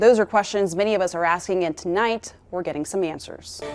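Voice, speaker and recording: A woman talks at a fairly quick pace in a normal speaking voice, her pitch medium. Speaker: TV news anchor and reporter. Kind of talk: studio anchor read of news headlines.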